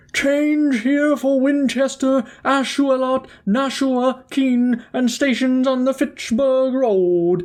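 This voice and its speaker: In a put-on character voice, a woman speaks very slowly at a high pitch. Her loudness stays very even, with ordinary pitch variation. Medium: read story.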